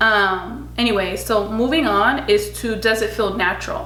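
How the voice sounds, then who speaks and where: Amid noticeable background noise and audible room echo, a woman speaks at a medium pitch with fairly even intonation. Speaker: beauty and lifestyle vlogger. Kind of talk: casual vlog talk to camera. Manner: chatty with frequent fillers.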